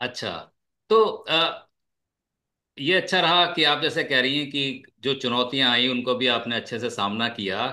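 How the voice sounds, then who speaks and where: A man is speaking. His tone is bright and sharp. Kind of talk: interviewer hosting a talk.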